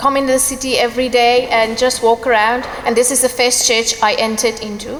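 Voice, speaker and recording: Over noticeable background noise, a woman speaks fairly slowly at a fairly high pitch with monotone, flat intonation. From Iran. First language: Persian. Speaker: church member giving testimony. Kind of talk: testimony. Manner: halting, hesitant.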